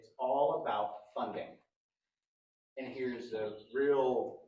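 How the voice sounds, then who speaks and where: A man's voice with audible room echo. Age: 40s. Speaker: podcast host. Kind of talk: podcast monologue. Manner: hesitant with fillers.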